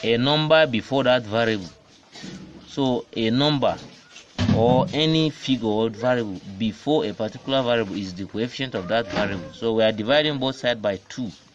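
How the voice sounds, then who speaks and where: Over noticeable background noise, a man talks at a fairly quick pace in a medium pitch with ordinary pitch variation. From Africa. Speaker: maths teacher. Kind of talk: maths lesson explanation.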